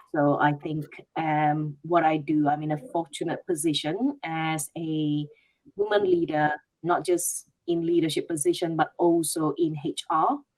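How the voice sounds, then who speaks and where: A fairly slow pace in a Malaysian accent. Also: woman, fairly low pitch for a woman. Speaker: HR leader. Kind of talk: panel discussion.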